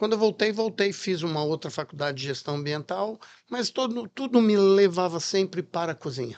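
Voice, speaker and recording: There is a quiet background behind a man speaking at a moderate pace. His pitch is high. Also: lively intonation. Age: 60s. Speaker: chef and restaurant franchise founder. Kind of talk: podcast interview.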